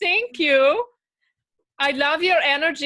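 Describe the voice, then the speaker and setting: Ordinary pitch variation runs through the speech of a woman with an American accent. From Michigan. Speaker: volunteer for healing. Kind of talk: casual chat. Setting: video call.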